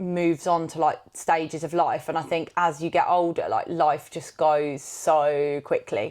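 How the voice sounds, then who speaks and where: In a normal speaking voice, a woman with a fairly low pitch talks at a moderate pace with fairly even intonation over a quiet background. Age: 30s. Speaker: podcast co-host. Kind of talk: casual chat.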